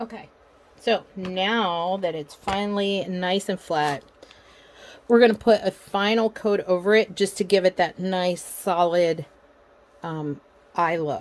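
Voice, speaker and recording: A woman speaks at a medium pitch and a very slow pace. Her intonation stays fairly even, broken by long, frequent pauses. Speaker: crafter. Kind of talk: tutorial. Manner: soft-spoken.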